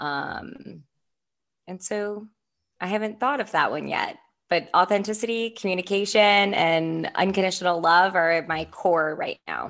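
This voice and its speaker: Here a woman speaks at a fairly slow pace in a medium pitch with ordinary pitch variation, an unremarkable speaking voice. The recording is very clean, with a silent background. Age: 20s. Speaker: podcast co-host, nonprofit founder. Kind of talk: casual chat.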